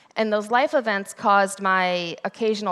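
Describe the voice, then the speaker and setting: A woman with an American accent talks at a moderate pace and medium pitch. Her pitch variation is ordinary, and the recording is very clean with a silent background. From US Midwest, Ohio. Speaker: conference speaker. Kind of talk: conference talk. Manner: loud, energetic.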